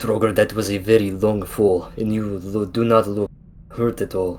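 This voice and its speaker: In a put-on character voice, a man talks at a moderate pace with a fairly low pitch and a monotone, flat intonation. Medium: actual play.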